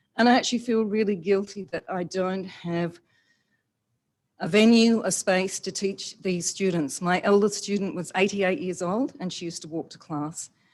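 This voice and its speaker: In an Australian accent, a woman speaks with ordinary pitch variation against a quiet background. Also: medium pitch for a woman, moderate pace. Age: 60s. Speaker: yoga teacher. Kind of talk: public comment at council meeting.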